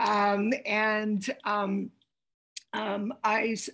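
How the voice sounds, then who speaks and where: Against a quiet background, a woman with a Yugoslav accent speaks at a fairly high pitch. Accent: Yugoslav-region. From former Yugoslavia. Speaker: lawyer. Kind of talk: panel talk. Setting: video call.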